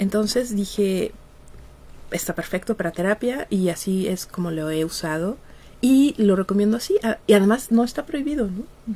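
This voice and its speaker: A woman at a moderate pace with lively intonation. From Mexico. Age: 50s. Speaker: psychologist and researcher; radio guest. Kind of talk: interview. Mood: relaxed, laughing at times. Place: studio. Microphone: studio mic.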